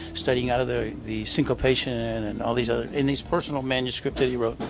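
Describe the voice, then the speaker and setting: A man with an American accent talks at a very fast pace, with audible room echo and noticeable background noise. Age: 70s. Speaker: drummer. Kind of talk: interview. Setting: cafe.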